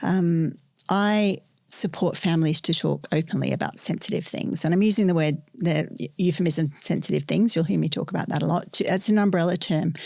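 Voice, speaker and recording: With an Australian accent and vocal fry, this voice moves at a fairly quick pace with ordinary pitch variation and very even loudness. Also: woman, fairly low pitch for a woman. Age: 50s. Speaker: sex educator. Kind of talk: podcast interview. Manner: hesitant, many filler ums.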